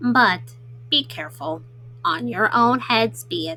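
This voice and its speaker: In a put-on character voice, a female-sounding speaker uses a middle pitch with very wide pitch swings at a fairly slow pace. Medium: read story. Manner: timid, fearful.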